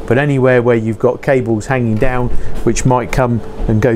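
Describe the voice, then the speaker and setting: Male speech with light noise in the background. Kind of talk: tutorial. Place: workshop.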